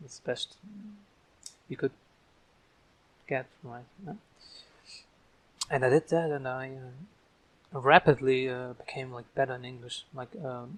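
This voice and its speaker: A man with a non-native accent speaks at a medium pitch with fairly even intonation. His loudness swings widely, and he takes long, frequent pauses. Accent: non-native English, audible. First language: German. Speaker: language learner vlogger. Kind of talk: casual vlog monologue. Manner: slurred words; halting, many fillers and repeats. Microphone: poor audio quality.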